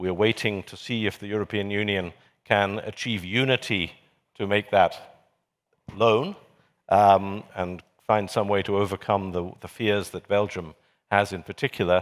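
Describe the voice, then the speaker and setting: A man with a British accent and a fairly low pitch speaks at a moderate pace in monotone, flat intonation. He takes long, frequent pauses, and his loudness swings widely. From Britain. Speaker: journalist and commentator on a panel. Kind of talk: panel discussion.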